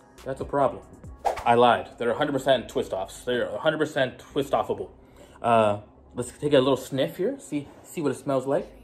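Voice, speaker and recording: Faint music plays in the background as a man talks. He keeps a moderate pace with ordinary pitch variation. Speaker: vlogger. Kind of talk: casual vlog chat. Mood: playful, jittery, amused. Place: home room. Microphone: phone near.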